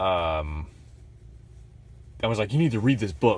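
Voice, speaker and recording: A man's voice is very deep and low, with vocal fry. His pitch swings very widely. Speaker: vlogger. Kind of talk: casual chat. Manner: casual, halting with fillers.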